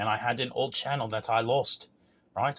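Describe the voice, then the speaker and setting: This man's medium-pitched voice moves fairly quickly, his intonation fairly even. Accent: Australian. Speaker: self-proclaimed spiritual messenger vlogger. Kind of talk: monologue rant to camera. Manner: emphatic, repetitive, ranting.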